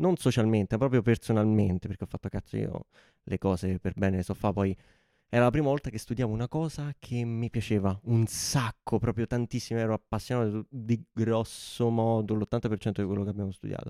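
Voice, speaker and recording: On a very clean recording with a silent background, a man speaks fairly quickly in a fairly low, dark, mellow voice with ordinary pitch variation, the sound dry and close with no echo. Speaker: podcast host. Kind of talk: casual chat. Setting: studio.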